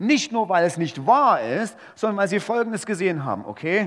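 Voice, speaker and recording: Animated in tone, a man talks at a moderate pace in a high voice that makes very wide pitch swings. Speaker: preacher. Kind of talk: sermon. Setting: church. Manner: animated, emphatic preacher's delivery; conversational, rhetorical questions, punchy phrases.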